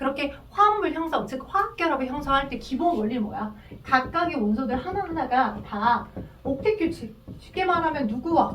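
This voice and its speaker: A woman's high-pitched voice at a fairly quick pace, with very wide pitch swings, audible room echo, and noticeable background noise. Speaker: chemistry tutor. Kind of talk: lecture. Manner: fast.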